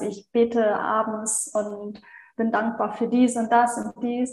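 A woman talks at a fairly high pitch in a monotone, flat way. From Germany, Hannover. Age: 30s. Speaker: virtual assistant. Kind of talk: interview, personal story.

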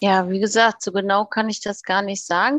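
A woman's voice with ordinary pitch variation, dry and close with no echo, against a quiet background. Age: 40s. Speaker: first-time pilgrim. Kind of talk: interview. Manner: hesitant, with many fillers.

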